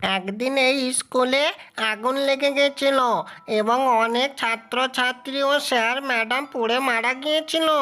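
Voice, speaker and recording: This cartoonish character voice sits at a high pitch and moves at a fairly slow pace. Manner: scolding, authoritative.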